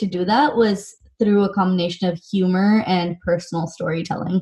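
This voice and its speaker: A woman in an American accent, medium-pitched and somewhat breathy, at a moderate pace. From US West Coast (Silicon Valley, California). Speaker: nonprofit founder and CEO. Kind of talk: interview.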